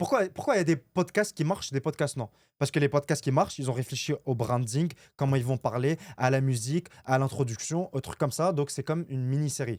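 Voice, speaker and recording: A man with a fairly high pitch and an animated tone, at a fairly quick pace with ordinary pitch variation and big swings in loudness, on a very clean recording with a silent background and a dry, close sound with no echo. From Lebanon. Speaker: entrepreneur and content creator. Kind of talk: podcast interview. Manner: casual, animated.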